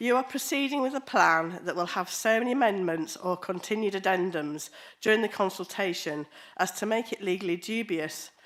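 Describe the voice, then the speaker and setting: Her intonation lively, a woman at a medium pitch speaks at a fairly quick pace. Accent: English. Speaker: local councillor. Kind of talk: public meeting speech. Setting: council committee meeting.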